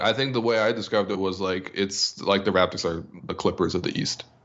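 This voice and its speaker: This man has a normal speaking voice with fairly low pitch. He moves at a fairly quick pace with fairly even intonation. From Canada. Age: 20s. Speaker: basketball writer. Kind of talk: casual interview.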